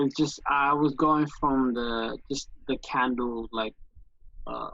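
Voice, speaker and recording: Speech comes very slowly. A non-native accent is audible. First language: not English. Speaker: trading student. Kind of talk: casual Q&A chat. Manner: halting.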